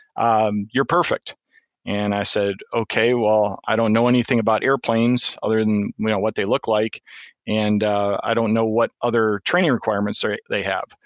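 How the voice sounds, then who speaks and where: In a Michigan accent, the speaker's loudness stays very even and the intonation fairly even, with a dry, close sound, no echo, and a quiet background. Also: man, medium pitch for a man, moderate pace. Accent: Michigan, US Upper Midwest. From Michigan, US. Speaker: deputy fire chief, retired Marine. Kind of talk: casual interview.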